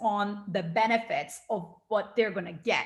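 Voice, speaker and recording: Speaking with a Turkish accent, a woman sounds animated, her tone bright and sharp. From small town in Turkey. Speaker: NLP coach and trainer. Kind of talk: interview.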